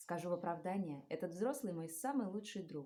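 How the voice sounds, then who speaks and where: Her voice dark, mellow and somewhat breathy, a woman talks at a moderate pace with lively intonation. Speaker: stage actress. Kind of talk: fairy tale reading.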